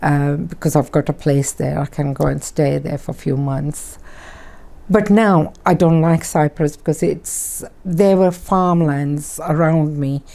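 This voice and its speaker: At a very deep, low pitch, a woman speaks fairly slowly in a dark, mellow tone with fairly even intonation. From Kenya. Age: 70s. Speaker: interviewee sharing life story. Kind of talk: oral history interview. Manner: halting.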